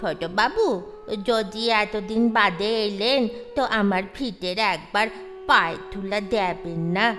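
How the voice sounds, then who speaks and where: Over clear background music, a female-sounding voice in a put-on character voice speaks fairly slowly at a medium pitch. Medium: audio drama. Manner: deferential, respectful to his betters.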